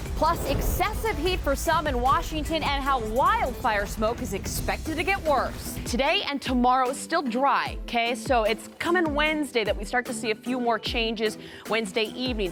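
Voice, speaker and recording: Music plays in the background as a woman speaks in a high pitch. She barely pauses at all. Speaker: TV meteorologist and journalist. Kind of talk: TV weather forecast.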